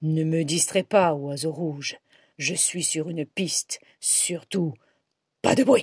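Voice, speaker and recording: In a put-on character voice, gruff and serious at a middle pitch, the speaker moves at a fairly slow pace with long, frequent pauses. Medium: read story. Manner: gruff, serious.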